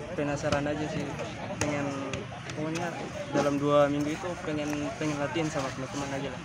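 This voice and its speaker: A man at a very fast pace, loud background noise behind a dry sound with no echo. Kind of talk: interview answer. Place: stadium.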